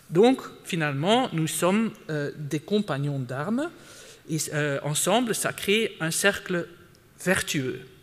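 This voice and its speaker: A man with a non-native accent speaks very slowly in a high voice. His intonation is lively. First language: not French (speaking French). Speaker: conference speaker, sustainability expert. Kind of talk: conference talk. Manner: hesitant, many fillers and repetitions.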